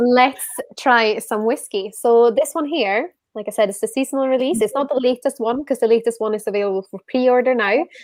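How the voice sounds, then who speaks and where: A woman speaks at a fairly quick pace with a Swedish accent, her high pitch moving with ordinary variation over a dry, close sound with no echo. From Sweden. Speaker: whisky influencer and event host. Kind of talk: casual chat, live online tasting.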